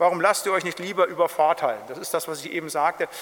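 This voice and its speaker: A man with a high-pitched voice talks at a fairly quick pace. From Germany, Siegerland. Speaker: pastor. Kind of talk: Bible study lecture.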